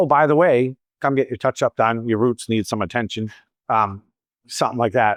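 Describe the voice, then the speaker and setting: In a slight Boston accent, a man at a medium pitch speaks at a moderate pace with ordinary pitch variation. The sound is dry and close with no echo, and the background is quiet. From Boston, US Northeast. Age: 50s. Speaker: salon owner and hairstylist. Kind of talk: Q&A talk at a coaching event.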